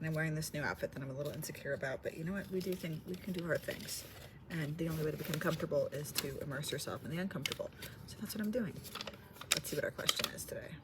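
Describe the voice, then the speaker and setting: Over noticeable background noise, a woman speaks at a very fast pace in a fairly low pitch with ordinary pitch variation. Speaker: vlogger. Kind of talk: casual vlog monologue. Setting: library. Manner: quiet; hesitant, filler-heavy.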